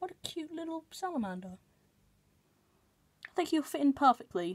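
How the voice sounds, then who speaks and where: A soft-spoken woman at a high pitch and moderate pace, with very wide pitch swings and big swings in loudness. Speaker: pet keeper vlogger. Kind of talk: casual chat. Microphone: phone near.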